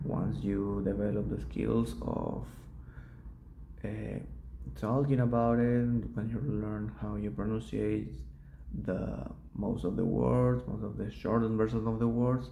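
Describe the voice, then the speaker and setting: A man talks with a Spanish accent, leaving long, frequent pauses. Audible room echo is present. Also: fairly slow pace. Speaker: student. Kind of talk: oral exam reflection. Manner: halting, with pauses; slow.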